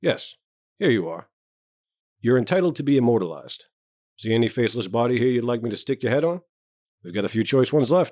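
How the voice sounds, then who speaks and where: A raspy put-on character voice from a man, medium-pitched, racing along at a very fast pace yet broken by long, frequent pauses. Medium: read story. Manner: sardonic, scornful.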